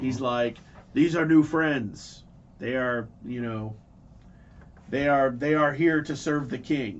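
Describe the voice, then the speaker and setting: A man puts on a character voice at a medium pitch, speaking at a fairly slow pace with long, frequent pauses. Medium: actual play. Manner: wheedling, conspiratorial.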